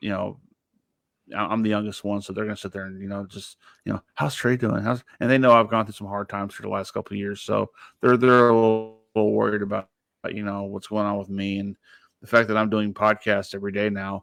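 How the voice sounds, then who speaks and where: Very fast and monotone, a man with an American accent and a fairly low pitch talks with big swings in loudness. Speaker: podcast host. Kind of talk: casual chat. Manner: halting.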